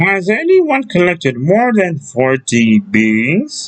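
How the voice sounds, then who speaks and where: Using a put-on character voice, a man speaks at a very slow pace and high pitch with very wide pitch swings. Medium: read story. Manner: formal, proper.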